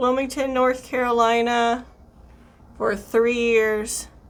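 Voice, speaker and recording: A woman with an American accent speaks very slowly in a fairly high pitch, her tone bright and sharp. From US South, South Louisiana. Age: 30s. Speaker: beauty vlogger. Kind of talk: casual chat while doing makeup tutorial. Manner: chatty.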